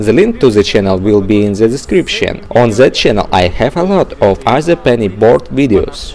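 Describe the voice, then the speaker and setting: A man with a Russian accent talks over music in the background. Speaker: skateboarding youtuber. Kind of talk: tutorial.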